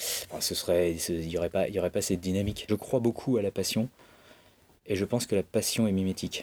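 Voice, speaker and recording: A man's very deep, low voice at a very fast pace with fairly even intonation, dry and close with no echo, on a very clean recording with a silent background. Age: 40s. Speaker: bookseller. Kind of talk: interview. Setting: bookshop stockroom.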